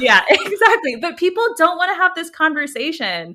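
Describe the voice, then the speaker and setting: In a very clean recording with a silent background, a woman with an American accent speaks in a raised, projected voice with a bright, sharp tone. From United States. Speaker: AI policy expert. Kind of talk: podcast interview.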